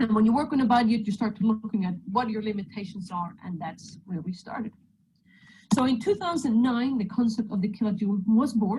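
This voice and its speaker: A woman's fairly high, somewhat breathy voice with a dark, mellow tone and ordinary pitch variation. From Sweden. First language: Swedish. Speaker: mechanical engineer and electric motorcycle racer. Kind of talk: presentation. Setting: video call.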